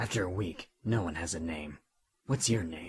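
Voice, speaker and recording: A raspy, put-on character voice from a man, very deep and low in pitch, at a moderate pace. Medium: audio drama.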